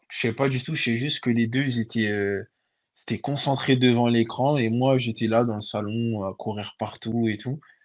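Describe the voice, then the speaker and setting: Against a quiet background, a normal speaking voice moves at a moderate pace. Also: man, medium pitch for a man. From France, Paris region (Sarcelles). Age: 20s. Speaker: professional footballer. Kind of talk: interview.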